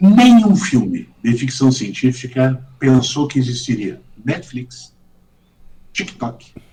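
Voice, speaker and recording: At a very slow pace, a man speaks in a medium pitch, somewhat breathy and dark, mellow in tone, with lively intonation. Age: 60s. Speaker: judge and law professor. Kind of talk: podcast interview. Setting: video call.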